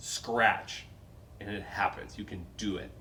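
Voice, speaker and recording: Over audible room echo, a man with an American accent speaks very slowly at a fairly low pitch. His intonation is monotone and flat. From North Dakota, Fargo. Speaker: pianist and piano teacher. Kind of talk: casual chat.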